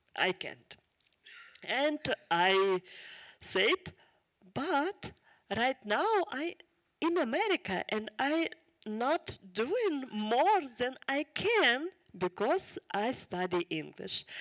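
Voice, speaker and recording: A woman's high voice with a strong Ukrainian accent, very wide pitch swings, a very slow pace and long, frequent pauses, in a dry, close sound with no echo. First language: Ukrainian or Russian. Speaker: refugee speaker. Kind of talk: testimony. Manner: halting.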